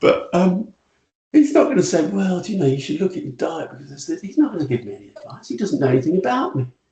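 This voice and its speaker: A man with a British accent talks at a very fast pace in a high voice, his pitch swinging very widely and his loudness rising and falling sharply. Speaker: retail futurist. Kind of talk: podcast interview. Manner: animated.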